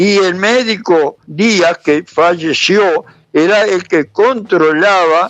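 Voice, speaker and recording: A man speaks at a very slow pace. His pitch is high, with ordinary pitch variation. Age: 80s+. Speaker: human rights witness, relative of murder victim. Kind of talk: interview. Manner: hesitant fillers (este).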